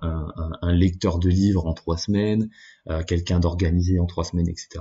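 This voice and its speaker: With a very deep, low pitch and a somewhat breathy quality, a man speaks fairly slowly in a flat monotone. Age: 20s. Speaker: podcast host. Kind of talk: solo monologue. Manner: halting.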